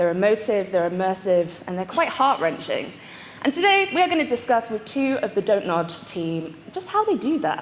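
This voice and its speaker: A woman with a British accent and a fairly high pitch, very wide pitch swings, a moderate pace, and noticeable background noise. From UK. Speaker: panel moderator. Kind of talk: convention panel hosting. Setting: stage with audience. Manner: animated.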